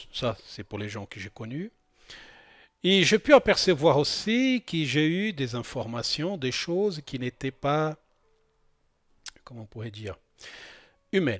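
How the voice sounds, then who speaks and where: A man with a non-native accent speaks at a very slow pace and fairly high pitch, with very wide pitch swings, big swings in loudness and long, frequent pauses. The recording is very clean, with a silent background and a dry, close sound with no echo. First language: not French (speaking French). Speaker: spiritual channel host. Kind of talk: spoken monologue on spirituality. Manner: hesitant, many fillers and repetitions.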